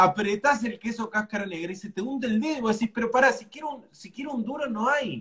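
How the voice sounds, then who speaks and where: An extremely high-pitched man speaks at a fairly quick pace with hardly any pauses, ordinary pitch variation, and big swings in loudness against a quiet background. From Argentina. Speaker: cooking show host. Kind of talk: casual chat. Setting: live stream video. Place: home room.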